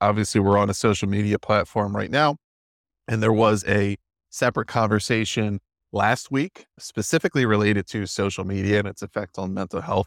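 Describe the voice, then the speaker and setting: A man with a normal speaking voice and a fairly low pitch uses ordinary pitch variation in a dry, close recording with no echo, very clean over a silent background. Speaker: moderator. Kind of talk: moderated panel discussion.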